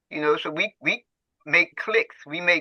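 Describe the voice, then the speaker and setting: A man's high-pitched voice at a fairly slow pace. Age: 80s+. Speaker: community elder, former prison worker. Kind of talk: casual group discussion. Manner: halting with many repetitions.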